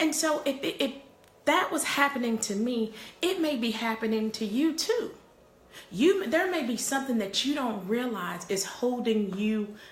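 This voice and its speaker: A woman speaks at a moderate pace with a high pitch. Audible room echo surrounds her voice. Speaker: parenting coach and live streamer. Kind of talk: live stream chat with viewers. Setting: office. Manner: repetitive, stammering starts.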